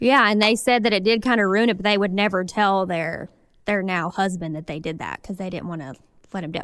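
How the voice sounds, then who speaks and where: A woman with a Southern US accent, medium pitch and lively intonation, fairly quick, on a very clean recording with a silent background. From Arkansas. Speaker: podcast co-host. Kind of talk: casual chat.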